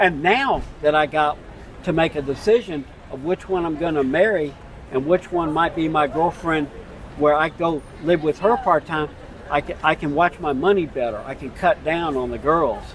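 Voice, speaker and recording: A man with an American accent speaks at a fairly high pitch over noticeable background noise. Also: ordinary pitch variation, moderate pace. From United States. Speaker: retired expat. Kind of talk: street interview.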